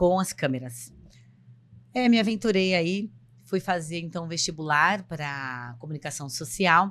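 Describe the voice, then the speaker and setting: A woman with a plain, everyday voice talks at a moderate pace in a fairly low pitch. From São Paulo coast, Brazil (São Vicente). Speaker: psychologist and podcast co-host. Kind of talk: casual podcast introduction.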